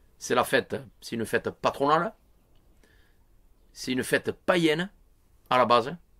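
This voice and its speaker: A man speaks in an animated tone. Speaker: local villager. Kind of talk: interview. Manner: animated, emphatic.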